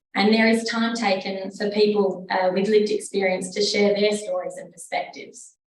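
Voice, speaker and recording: A woman's medium-pitched voice at a moderate pace, with hardly any pauses. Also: fairly even intonation. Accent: Australian. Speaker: research fellow presenter. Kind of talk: presentation. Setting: conference room with audience and online.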